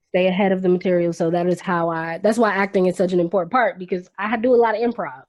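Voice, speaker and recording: With an American accent, a woman speaks at a very fast pace with hardly any pauses. Her medium pitch shows ordinary variation. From Washington, D.C. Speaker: actress, vocalist, Reiki practitioner. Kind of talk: interview answer.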